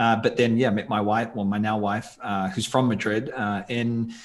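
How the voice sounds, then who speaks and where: The speaker has a New Zealand accent, recorded against a quiet background. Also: man. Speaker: tour company founder and video creator. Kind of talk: podcast interview.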